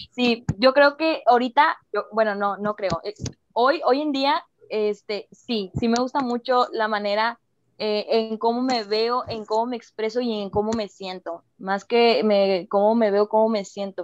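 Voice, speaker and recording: At a fairly slow pace, a woman uses a plain, everyday voice, pitched fairly high with ordinary pitch variation. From Mexico. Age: 20s. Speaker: former youth political worker. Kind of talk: casual chat.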